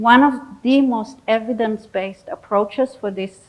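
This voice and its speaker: Recorded very cleanly against a silent background, a woman with a non-native accent talks at a moderate pace. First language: not English. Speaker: psychologist. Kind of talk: audience Q&A; lecture.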